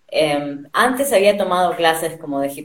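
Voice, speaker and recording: With a Rioplatense accent, a woman speaks at a fairly slow pace with fairly low pitch and lively intonation. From Argentina. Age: 30s. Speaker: dancer. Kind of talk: interview.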